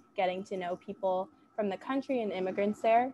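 Someone speaks at a moderate pace with ordinary pitch variation over noticeable background noise. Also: woman. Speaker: student peer advisor; panelist. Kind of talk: casual chat. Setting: video call. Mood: friendly, enthusiastic. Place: home room. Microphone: earbuds.

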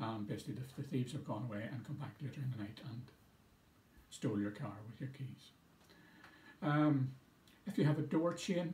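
Somewhat breathy and dark, mellow in tone, a man speaks at a fairly quick pace amid audible room echo. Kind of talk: public information talk. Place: office. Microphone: phone near.

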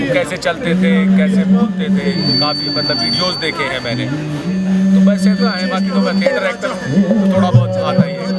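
With loud music in the background, a man speaks at a moderate pace. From Bulandshahr, Uttar Pradesh, India. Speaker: theatre actor. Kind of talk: interview answer. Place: open country.

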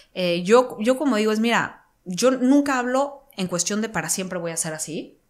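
Against a quiet background, a woman speaks with a fairly high pitch and lively intonation. Her pace is moderate, with hardly any pauses. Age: 30s. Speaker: entrepreneur and mindset coach; mindset coach. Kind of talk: interview. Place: studio. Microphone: studio mic.

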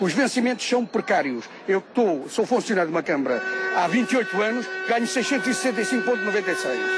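Over clear background music, a man speaks at a very fast pace, high in pitch, with lively intonation and very even loudness. The sound is dry, without echo. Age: 60s. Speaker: municipal worker at a protest. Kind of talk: street interview. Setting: outdoors at a street protest. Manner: indignant, emphatic. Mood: aggrieved, complaining about pay. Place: street. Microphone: handheld.

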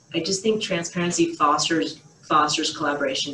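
Over light background noise and audible room echo, a woman speaks at a moderate pace with ordinary pitch variation. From Boston area, USA. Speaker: surgeon; interviewee. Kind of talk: interview answer. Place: home room. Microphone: webcam.

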